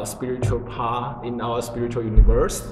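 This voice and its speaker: With a Chinese accent and ordinary pitch variation, a man speaks amid noticeable background noise and audible room echo. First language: Mandarin Chinese. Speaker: religious group member explaining teachings. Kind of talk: casual spiritual conversation. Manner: halting, with many fillers.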